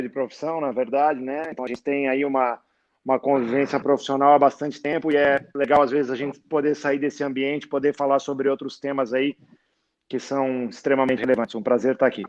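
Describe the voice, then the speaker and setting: The delivery is very fast and monotone, with flat intonation and a dry, close sound with no echo. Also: man. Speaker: sports lawyer and law professor. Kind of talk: casual interview chat. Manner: hesitant, filler-heavy; soft-spoken, talking quietly.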